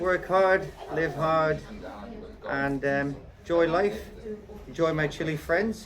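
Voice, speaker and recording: A man speaks at a fairly high pitch and a very slow pace, with long, frequent pauses. His pitch varies in an ordinary way over noticeable background noise. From Netherlands. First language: Dutch. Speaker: gardener and tree surgeon. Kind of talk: casual interview chat.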